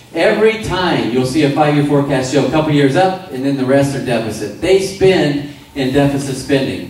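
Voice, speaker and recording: Hardly pausing, a man talks at a fairly quick pace with lively intonation, amid noticeable background noise and audible room echo. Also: fairly high pitch for a man. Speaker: anti-levy activist. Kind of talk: rally speech. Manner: fast; animated.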